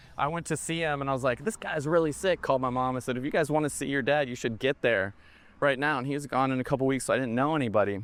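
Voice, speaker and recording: A man speaks at a very fast pace with a Texas accent. His pitch is medium, and the background is quiet. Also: ordinary pitch variation. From Texas, East Dallas. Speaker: film director. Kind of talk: casual chat. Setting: outdoors.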